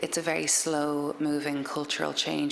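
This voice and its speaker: A woman speaks with an Irish accent over noticeable background noise. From Ireland. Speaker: author. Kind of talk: talk to an audience. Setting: library event with audience.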